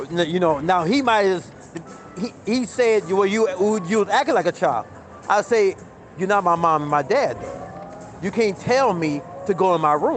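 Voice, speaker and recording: Over noticeable background noise, a man speaks loudly at a moderate pace in a high pitch. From Las Vegas, US. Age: 50s. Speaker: slot machine streamer. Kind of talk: casual live-stream monologue. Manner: stammering, repeats words.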